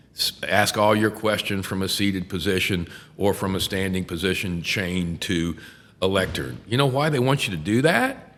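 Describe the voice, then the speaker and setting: With a Texan accent, a man speaks with ordinary pitch variation. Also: fairly low pitch for a man, moderate pace. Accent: Texan American. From Texas, Houston. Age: 60s. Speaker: criminal defense attorney. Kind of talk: casual chat. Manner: animated.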